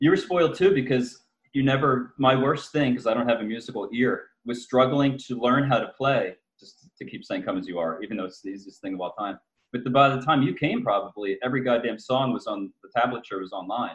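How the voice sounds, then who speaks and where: In a plain, everyday voice, a man speaks at a fairly quick pace and medium pitch, with ordinary pitch variation and big swings in loudness. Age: 40s. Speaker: author. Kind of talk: casual chat.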